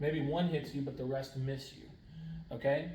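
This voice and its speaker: Audible echo from the room around a man's fairly high voice. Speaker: high school science teacher. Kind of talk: lecture. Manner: fast; casual.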